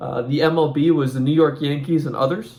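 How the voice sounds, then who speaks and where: The voice, somewhat breathy and with an American accent, shows ordinary pitch variation. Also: man. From Northern Ireland. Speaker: vlogger. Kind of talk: personal commentary. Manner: hesitant, many fillers.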